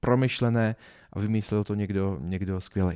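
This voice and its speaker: Speaking at a moderate pace, a man keeps his intonation fairly even. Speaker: podcast host and business trainer. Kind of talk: solo podcast monologue. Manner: halting, stumbling over words. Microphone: new high-quality podcast microphone.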